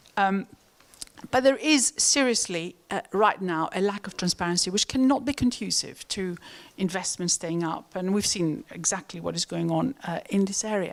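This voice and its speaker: At a moderate pace, a woman with a Greek accent talks at medium pitch with lively intonation. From Greece. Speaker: economist. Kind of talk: panel discussion. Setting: stage with audience. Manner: halting.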